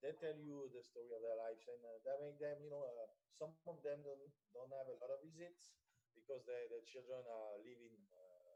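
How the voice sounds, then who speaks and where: A man with a French accent talks at a moderate pace in a dark, mellow tone. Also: ordinary pitch variation. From France. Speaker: personal chef. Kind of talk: radio interview. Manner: halting, many fillers.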